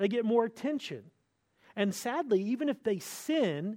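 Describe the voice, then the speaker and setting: This man speaks with a North Carolina accent. His tone is dark and mellow. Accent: Southern US (North Carolina). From US South, North Carolina. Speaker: pastor. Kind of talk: sermon. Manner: repeats and restarts words.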